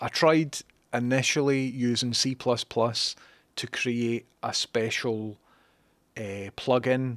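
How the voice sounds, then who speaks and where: In a dry, close sound with no echo, a man with a medium pitch speaks with fairly even intonation. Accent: Scottish. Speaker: livestreamer and programmer. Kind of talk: casual livestream chat. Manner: casual, chatty with fillers.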